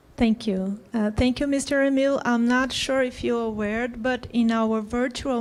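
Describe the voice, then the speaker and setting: A woman with a Portuguese accent speaks at a fairly high pitch and a moderate pace, with fairly even intonation. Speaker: panel facilitator. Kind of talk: panel moderation. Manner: formal.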